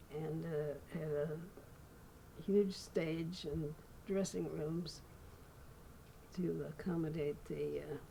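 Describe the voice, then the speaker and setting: Amid noticeable background noise, a woman's very deep, low voice shows ordinary pitch variation. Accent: American. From Redlands, California, USA. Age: 80s+. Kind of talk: interview answer.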